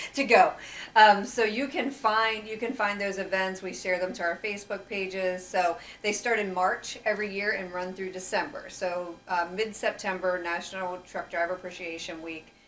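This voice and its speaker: A woman speaks at medium pitch with fairly even intonation. Noticeable background noise runs underneath. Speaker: marketing and recruiting director hosting company newscast. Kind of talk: casual chat. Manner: fast.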